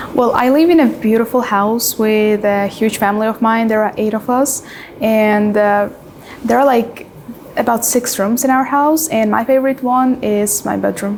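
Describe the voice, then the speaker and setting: A woman with an Uzbek accent and fairly high pitch, fairly even intonation and very even loudness at a moderate pace, over noticeable background noise. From Uzbekistan. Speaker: IELTS exam candidate. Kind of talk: mock speaking exam interview. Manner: hesitant with frequent fillers.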